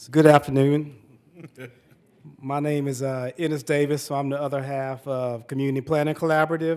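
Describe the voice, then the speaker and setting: Talking fairly quickly in a Southern US accent, a man with a fairly high pitch holds a monotone, flat intonation while his loudness swings widely. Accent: Southern twang. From Central Florida, Polk County. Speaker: urban planning consultant. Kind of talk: panel presentation.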